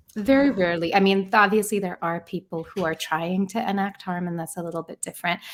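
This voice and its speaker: A soft-spoken woman with a gentle tone, medium pitch, ordinary pitch variation and a fairly quick pace. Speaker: author and therapy facilitator. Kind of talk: podcast interview. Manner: soft and gentle.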